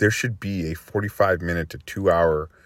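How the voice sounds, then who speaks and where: With an American accent, a man with a very deep, low pitch talks at a moderate pace in a fairly even intonation, on a very clean recording with a silent background. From Massachusetts. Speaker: freelance web designer. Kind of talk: solo podcast monologue.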